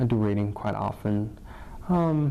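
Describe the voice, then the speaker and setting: A man is speaking. He has a Chinese accent. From northern China. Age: 20s. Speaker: college alumnus. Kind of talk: interview. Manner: halting, many fillers.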